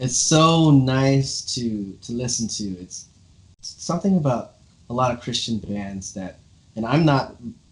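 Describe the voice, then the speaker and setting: With an American accent, a man talks at a medium pitch, somewhat breathy, with lively intonation. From Los Angeles, US West Coast. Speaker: drummer, interview show host. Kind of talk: casual interview chat.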